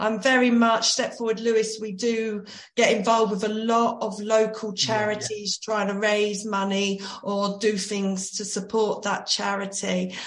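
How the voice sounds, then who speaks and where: A woman speaks at a fairly slow pace, her fairly high pitch flat and monotone. Noticeable background noise and audible room echo come through. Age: 40s. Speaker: personal trainer. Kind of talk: casual chat.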